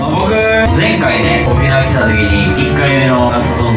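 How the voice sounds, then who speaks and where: A man's voice carries audible room echo. Loud music plays in the background. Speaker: host club worker. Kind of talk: thank-you speech into a microphone. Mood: earnest, reflective about ranking. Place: bar.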